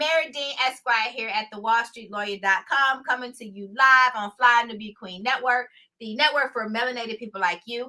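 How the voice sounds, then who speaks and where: A woman talks loudly at a moderate pace, with hardly any pauses. Her tone is animated, with ordinary pitch variation. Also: fairly high pitch for a woman. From US South, Houston, Texas. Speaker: lawyer and online show host. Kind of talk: live stream monologue. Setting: live stream.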